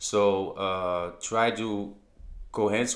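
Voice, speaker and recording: With a Dutch accent, a man talks at a fairly low pitch and with fairly even intonation. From Netherlands. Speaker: crypto YouTuber. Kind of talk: video commentary. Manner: halting.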